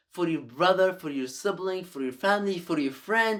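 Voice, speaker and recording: A man talks at a high pitch. The recording is very clean, with a silent background. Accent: Arabic. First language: Arabic. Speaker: YouTuber giving life advice. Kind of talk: direct-to-camera advice talk. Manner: halting, with repetitions.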